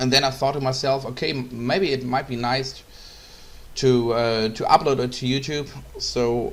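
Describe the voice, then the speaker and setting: Spoken in a German accent at a fairly slow pace, the voice stays monotone and flat, with audible room echo. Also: man. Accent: German accent, non-fluent English. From Germany. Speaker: photographer. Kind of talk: tutorial. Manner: halting, many fillers.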